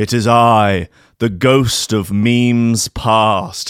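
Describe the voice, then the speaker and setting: A man uses a put-on character voice at a medium pitch and a very slow pace. The recording is very clean, with a silent background. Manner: spooky, dramatic.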